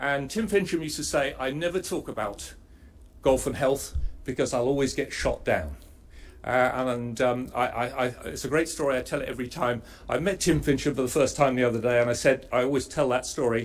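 A man speaks at a fairly quick pace with vocal fry. His pitch varies in an ordinary way. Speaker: presenter. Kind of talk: conference presentation. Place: hall. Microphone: camera far.

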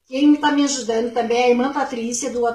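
A woman's fairly even intonation, with audible room echo and a quiet background. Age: 60s. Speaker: pregnant woman appealing for help; interviewee. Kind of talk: public appeal. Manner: halting. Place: home room. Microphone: phone near.

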